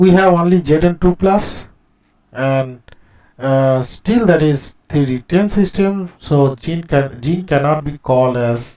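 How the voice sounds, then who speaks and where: Speaking with an Indian accent, a man with a fairly high pitch and a dark, mellow tone uses lively intonation. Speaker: chemistry teacher. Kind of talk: lecture. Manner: slow.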